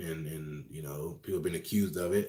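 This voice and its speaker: The man's delivery is very fast. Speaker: phone reseller and online course teacher. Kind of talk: live stream Q&A. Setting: live video stream.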